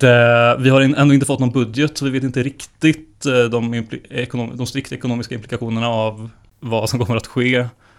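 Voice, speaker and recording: The recording is very clean, with a silent background. A man speaks at medium pitch in a monotone, flat intonation. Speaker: podcast co-host. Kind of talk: casual chat about economics.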